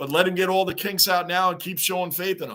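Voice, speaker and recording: A man with a New York accent talks at a very fast pace in an animated tone. His pitch is high. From Long Island, New York. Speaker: YouTube live streamer, hockey fan. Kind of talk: live-stream watch-along chat.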